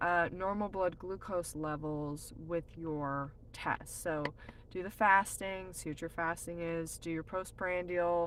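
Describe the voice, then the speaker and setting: In an American accent, this is an ordinary speaking voice at a fairly slow pace with fairly even intonation. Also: woman. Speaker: nutritionist. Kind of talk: live stream Q&A. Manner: casual, filler-heavy.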